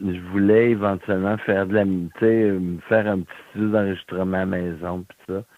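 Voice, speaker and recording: A man talks at a moderate pace with a fairly low pitch. His intonation is monotone and flat, with hardly any pauses. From Quebec City, Quebec. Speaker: blind musician. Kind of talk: interview.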